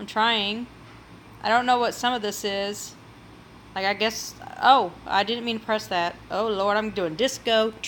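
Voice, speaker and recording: This woman speaks at a moderate pace with an American accent. Her fairly high voice keeps a fairly even intonation. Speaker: cooking YouTuber. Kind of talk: casual livestream chat. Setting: home livestream, sitting in a chair.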